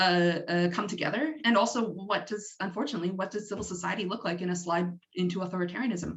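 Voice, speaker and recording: A woman with a Canadian accent talks at a very fast pace. Her medium-pitched voice is somewhat breathy, with ordinary pitch variation. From Canada. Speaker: doctoral researcher. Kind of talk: lecture.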